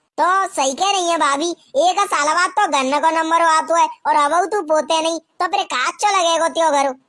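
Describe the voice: A woman performs a cartoonish character voice at an extremely high pitch, with fairly even intonation and very even loudness. She keeps a moderate pace with hardly any pauses.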